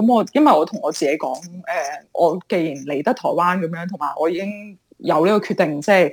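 A woman talks at a moderate pace in a plain, everyday voice, pitched fairly low. Her intonation is lively. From Hong Kong. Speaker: entrepreneur. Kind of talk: interview.

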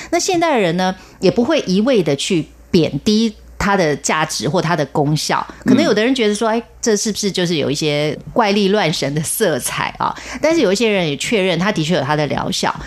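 A woman's medium-pitched voice with very wide pitch swings at a fairly quick pace, over noticeable background noise. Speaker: radio host. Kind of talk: radio announcement; interview.

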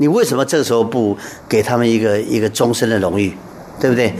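Noticeable background noise sits under this man's medium-pitched voice. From Taiwan. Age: 60s. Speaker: art association chairman, painter. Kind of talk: radio interview.

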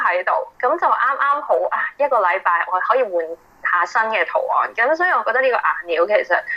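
Noticeable background noise sits beneath a woman speaking fairly quickly. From Hong Kong. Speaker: artist and yoga teacher. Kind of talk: interview. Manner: hesitant with many fillers.

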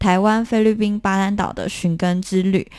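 A woman's medium-pitched voice, a normal speaking voice, in a very clean recording with a silent background. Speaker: documentary filmmaker. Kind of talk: interview.

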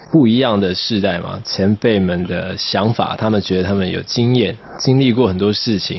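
Noticeable background noise behind a moderate pace and ordinary pitch movement. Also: man. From southern Taiwan. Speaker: singer-songwriter. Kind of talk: radio interview.

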